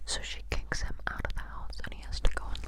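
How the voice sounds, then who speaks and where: Whispered words come at a moderate speed, with noticeable noise in the background. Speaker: ASMR creator. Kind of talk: made-up gossip storytelling.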